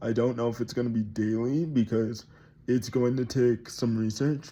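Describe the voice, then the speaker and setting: Dark, mellow male tones at a medium pitch. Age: 20s. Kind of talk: casual vlog talk to camera. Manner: hesitant, many fillers.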